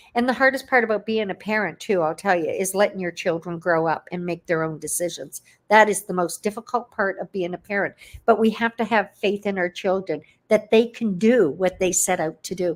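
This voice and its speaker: A woman with an ordinary speaking voice speaks at a medium pitch with ordinary pitch variation. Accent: Canadian. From Canada. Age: 60s. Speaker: online entrepreneur. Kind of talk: interview. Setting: livestream video call.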